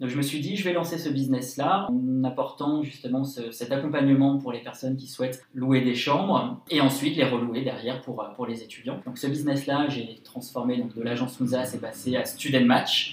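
Over noticeable background noise, a man with a medium pitch speaks at a moderate pace with hardly any pauses. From France, Lyon. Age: 20s. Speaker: entrepreneur. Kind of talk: interview. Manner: energetic; hesitant, many fillers.

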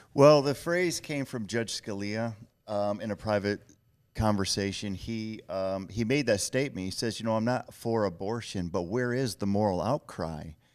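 A plain, everyday voice with an American accent and ordinary pitch variation. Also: man, fairly low pitch for a man, moderate pace, very clean recording, silent background. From Michigan. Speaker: pro-life ministry leader. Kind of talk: interview testimony.

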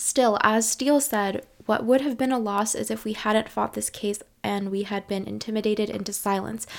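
A woman has a plain, everyday voice. Her pitch is fairly high and her pace moderate. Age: 20s. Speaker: history podcast host. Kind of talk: scripted narration. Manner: casual, filler-heavy with ums and likes.

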